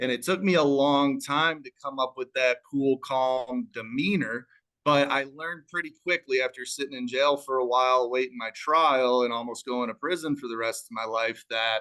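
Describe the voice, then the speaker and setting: Speaking with a slight Chicago accent, a man at medium pitch has a bright, sharp tone, fairly even intonation, a moderate pace and hardly any pauses. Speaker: real estate wholesaler. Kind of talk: business talk on live panel. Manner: calm.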